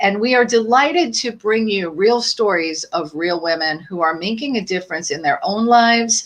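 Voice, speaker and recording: A woman speaks at a moderate pace with hardly any pauses, her medium-pitched voice upbeat and swinging very widely in pitch. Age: 60s. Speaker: podcast host. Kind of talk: live podcast interview.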